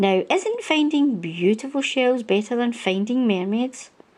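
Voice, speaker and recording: A put-on, female-sounding character voice, high-pitched, at a moderate pace. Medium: read story. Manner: gentle, composed.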